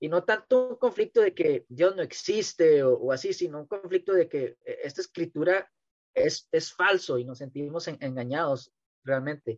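Lively intonation at a moderate pace, with a dry, close sound and no echo. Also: man, high pitch for a man. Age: 30s. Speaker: t-shirt printer and amateur religious podcaster. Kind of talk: casual interview about faith. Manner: halting, many repetitions.

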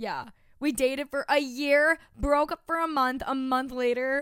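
Recorded very cleanly against a silent background, a woman with an American accent speaks at a high pitch with ordinary pitch variation. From Long Island, New York. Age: 20s. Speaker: podcast co-host. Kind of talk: casual chat.

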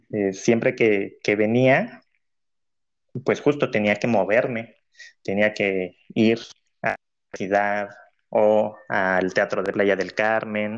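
A man with a Mexican accent speaks very slowly in a fairly low voice. His intonation stays fairly even over a quiet background. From Mexico, Cancún. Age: 20s. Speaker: cultural manager, former clarinetist. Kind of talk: interview. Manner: hesitant, many fillers.

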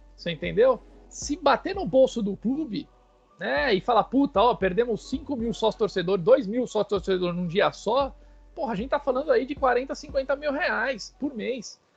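Music plays in the background as a man speaks at a moderate pace. His voice is extremely high, with lively intonation. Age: 30s. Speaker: football fan page owner. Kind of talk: casual chat.

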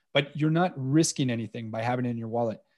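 A man's dark, mellow tone at a very fast pace with ordinary pitch variation, on a very clean recording with a silent background. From Canada, Montreal. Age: 40s. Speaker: precious metals dealer. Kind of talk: interview.

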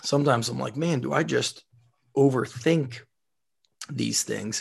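A man with an American accent talks at a medium pitch against a quiet background. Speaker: strength coach, podcast host. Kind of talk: casual chat. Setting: remote recording.

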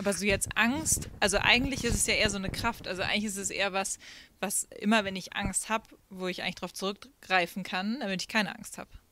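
At a very fast pace, a woman speaks in a medium pitch with fairly even intonation. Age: 30s. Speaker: singer and former youth leader. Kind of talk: casual chat. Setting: outdoors.

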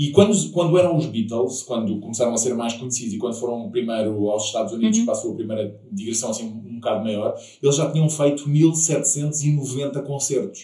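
A medium-pitched man at a fairly quick pace with lively intonation and hardly any pauses, in audible room echo. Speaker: podcast host. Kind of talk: casual interview chat.

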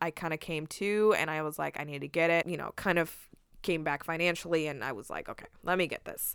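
A woman with an American accent talks fairly quickly in a normal speaking voice, fairly low in pitch. The recording is very clean, with a silent background. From US West Coast. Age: 20s. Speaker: podcast co-host. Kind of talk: casual chat.

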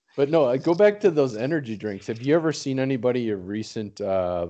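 In a dark, mellow tone, a man talks at a fairly quick pace. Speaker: recurring guest and sidekick. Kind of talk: casual chat. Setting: video call over Skype.

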